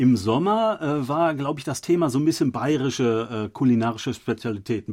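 Speaking at a moderate pace, the man keeps a medium pitch that varies in an ordinary way. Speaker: podcast host. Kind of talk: casual chat. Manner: halting, many filler sounds.

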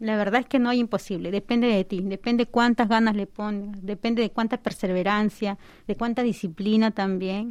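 A woman speaks at a fairly high pitch in a plain, everyday voice. The background is quiet. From Peru, Lima. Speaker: doctoral student and nutritionist. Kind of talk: radio interview. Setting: studio.

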